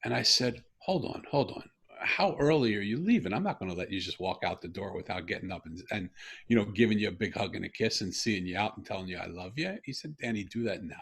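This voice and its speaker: Somewhat breathy and fairly low in pitch, a man talks at a very fast pace with lively intonation. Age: 60s. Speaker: podcast guest. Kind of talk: personal storytelling interview.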